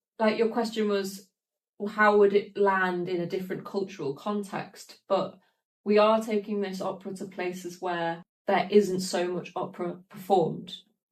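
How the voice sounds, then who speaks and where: The speaker has a Manchester accent and talks at a moderate pace. The intonation is monotone and flat. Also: woman, medium pitch for a woman. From northern England, Peak District (Glossop) and South Manchester. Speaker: opera singer. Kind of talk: podcast conversation.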